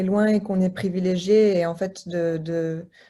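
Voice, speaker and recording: This woman talks very slowly at a medium pitch, her dark, mellow tone somewhat breathy and her intonation fairly even. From Lebanese diaspora. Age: 30s. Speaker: association co-founder. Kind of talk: interview. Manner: halting, many hesitations.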